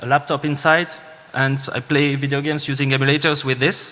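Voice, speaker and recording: A man speaks with a Swiss French accent at a fairly high pitch. Noticeable background noise is present. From French-speaking Switzerland. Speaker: security engineer, conference speaker. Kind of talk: conference talk. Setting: stage with audience. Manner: halting, many fillers.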